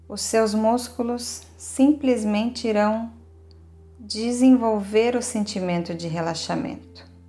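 A woman speaks at a very slow pace in a gentle, calm tone. Music plays in the background. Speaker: yoga nidra guide. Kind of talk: guided meditation. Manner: slow, calm, soothing, with long pauses; gentle, steady, listing body parts in a measured rhythm.

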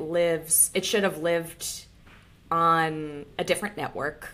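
A normal speaking voice at a fairly slow pace. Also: woman. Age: 30s. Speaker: podcast co-host. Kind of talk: casual chat.

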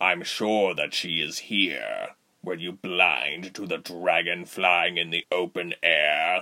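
Someone uses a put-on character voice, speaking at a fairly slow pace. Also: man, very deep, low pitch for a man. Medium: audio drama. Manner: icy, commanding.

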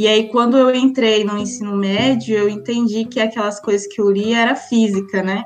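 A woman at a medium pitch speaks at a moderate pace, her intonation monotone and flat. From Maranhão, Brazil (Imperatriz). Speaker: physics PhD student and science communicator. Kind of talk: interview.

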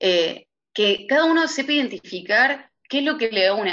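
With lively intonation, a woman speaks in a bright, sharp tone. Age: 30s. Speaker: lawyer's office administrator. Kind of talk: interview. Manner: hesitant with filler sounds.

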